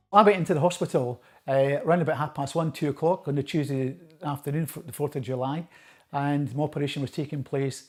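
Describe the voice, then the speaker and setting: In a very clean recording with a silent background, a man with an Edinburgh accent speaks very fast in a fairly high pitch with fairly even intonation. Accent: Scottish (Edinburgh). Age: 60s. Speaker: patient. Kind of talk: testimony.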